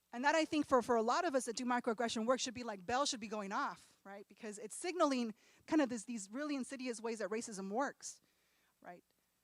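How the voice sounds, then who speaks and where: Her high voice racing at a very fast pace, a woman speaks with big swings in loudness. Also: ordinary pitch variation. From California. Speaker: professor. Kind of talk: lecture.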